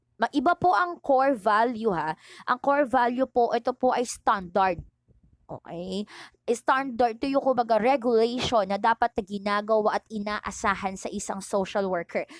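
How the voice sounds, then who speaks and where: A woman's fairly high pitch in a normal speaking voice, with ordinary pitch variation, a moderate pace and dry, close sound with no echo. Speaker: teacher. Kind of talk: online lecture. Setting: recorded online video lesson.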